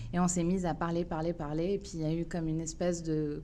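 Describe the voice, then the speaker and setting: Fairly low-pitched woman's voice, dark and mellow in tone, at a moderate pace. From France, Paris suburbs. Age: 30s. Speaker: municipal election candidate. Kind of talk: interview. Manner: hesitant, many filler sounds.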